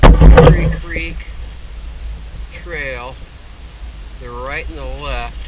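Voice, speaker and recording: Very slow speech broken by long, frequent pauses plays over noticeable background noise. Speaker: hiking vlogger. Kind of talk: outdoor vlog narration. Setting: outdoors on a hiking trail. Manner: quiet.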